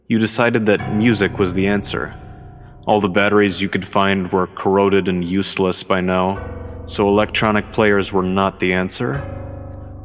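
Over music in the background, a man speaks at a moderate pace with a fairly low pitch, fairly even intonation and very even loudness. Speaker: writer reading own story. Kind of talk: horror story narration.

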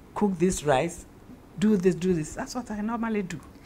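The speaker is a woman. There is a somewhat breathy quality to her voice. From Ghana. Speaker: actress. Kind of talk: interview.

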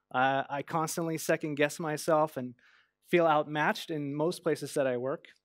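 A man at a fairly slow pace with fairly even intonation, dry sound with no echo, and music in the background. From Norway. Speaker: motion and UI designer. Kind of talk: conference talk. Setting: stage with audience. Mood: open, personal, hesitant. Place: stage. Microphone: headset.

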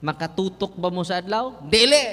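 A high-pitched man's voice at a fairly slow pace, with lively intonation. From Visayas, Philippines. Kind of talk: sermon. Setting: church. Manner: animated; humorous, code-switching. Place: church. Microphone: handheld.

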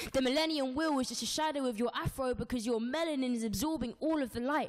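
Fairly quick and high-pitched, a woman talks with a London accent. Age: 20s. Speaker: spoken word poet. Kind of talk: spoken word performance. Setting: live show. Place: studio. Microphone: handheld.

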